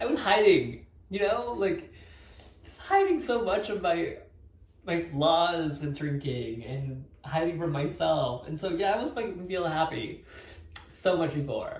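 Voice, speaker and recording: Big swings in loudness mark a man's high-pitched, fairly slow speech, heard with audible room echo. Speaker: vlogger sharing sobriety journey. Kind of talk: personal vlog monologue. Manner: mumbling; halting, hesitant.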